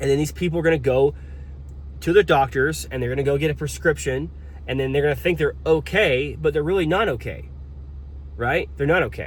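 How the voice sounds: Speech moves at a fairly quick pace. The pitch shifts about as much as usual. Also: man, fairly high pitch for a man.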